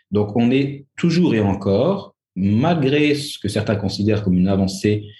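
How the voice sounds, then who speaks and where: A man's dark, mellow, somewhat breathy voice, fairly low in pitch, with lively intonation at a moderate pace. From France. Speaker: historian. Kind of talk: interview. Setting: remote call from Algiers. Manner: halting.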